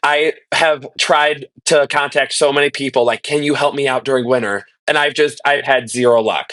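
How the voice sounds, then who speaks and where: A man with an American accent speaks at a moderate pace in a fairly high, bright, sharp voice, with fairly even intonation, very even loudness and hardly any pauses. The sound is dry and close, with no echo. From Illinois. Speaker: college student and color guard director. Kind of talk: casual chat.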